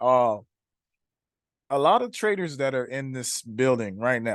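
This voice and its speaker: With an animated tone and lively intonation, a man speaks in a Haitian accent at medium pitch and a moderate pace against a quiet background. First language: Haitian Creole. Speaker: trading coach. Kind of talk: webinar hosting. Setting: online webinar.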